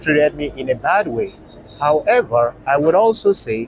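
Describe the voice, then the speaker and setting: A man with a non-native accent at a moderate pace, lively intonation, and noticeable background noise. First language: not English. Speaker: travel vlogger. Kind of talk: vlog narration.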